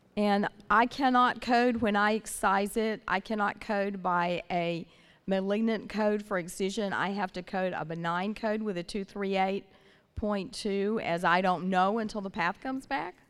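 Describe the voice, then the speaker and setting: A woman with a normal speaking voice and an American accent, medium in pitch and fairly even in intonation, at a fairly slow pace on a very clean recording with a silent background. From Northern California. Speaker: audience member asking questions.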